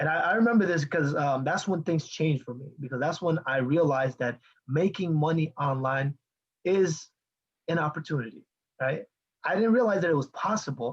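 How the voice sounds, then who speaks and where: A somewhat breathy male voice at a moderate pace, with lively intonation. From Bangladesh. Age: 20s. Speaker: online marketing coach. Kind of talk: live video call talk. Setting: video call. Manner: animated.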